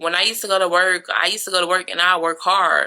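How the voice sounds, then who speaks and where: A woman's voice, fairly low in pitch. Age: 30s. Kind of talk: personal testimony vlog. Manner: casual, conversational.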